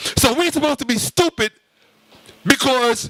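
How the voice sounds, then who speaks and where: A man projects a raised, animated voice at a moderate pace with ordinary pitch variation, the sound dry and close with no echo. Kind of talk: lecture.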